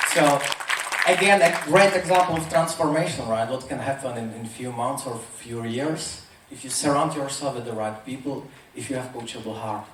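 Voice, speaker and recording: With a Czech accent and lively intonation, a man speaks at a moderate pace amid audible room echo and noticeable background noise. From Czech Republic. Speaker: motivational speaker. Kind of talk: motivational talk.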